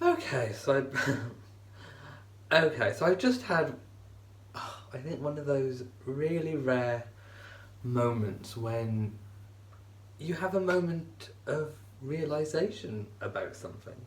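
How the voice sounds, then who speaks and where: With a British accent and lively intonation, a man at a fairly high pitch speaks at a very slow pace with long, frequent pauses. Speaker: vlogger. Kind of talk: casual talk to camera.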